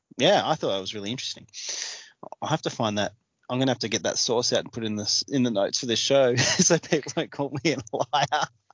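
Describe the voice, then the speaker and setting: He speaks with an Australian accent at a very fast pace. His pitch is medium for a man, with ordinary variation. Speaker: podcast host. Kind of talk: casual chat.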